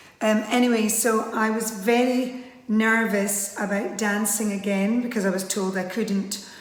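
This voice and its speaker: A woman with a Scottish accent and a fairly high pitch, flat and monotone, at a fairly slow pace with hardly any pauses, with audible room echo and noticeable background noise. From Scotland. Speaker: line dance instructor. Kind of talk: interview monologue. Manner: casual with frequent fillers.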